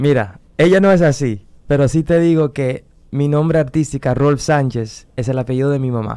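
A man speaks at a fairly high pitch with ordinary pitch variation. His pace is moderate. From Netherlands. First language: Dutch (speaking Spanish). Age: 30s. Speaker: singer. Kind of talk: interview. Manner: halting.

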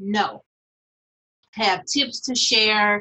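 Very slowly, a woman talks with ordinary pitch variation. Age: 30s. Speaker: poet and author. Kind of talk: casual interview chat.

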